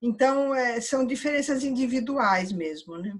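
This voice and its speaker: A woman speaks at a fairly slow pace, her voice somewhat breathy. Her pitch moves with ordinary variation. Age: 60s. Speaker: audience participant. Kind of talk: casual conversation. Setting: virtual meditation room video call. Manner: halting.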